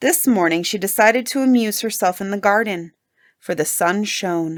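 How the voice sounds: Behind a natural reading voice, the background stays quiet.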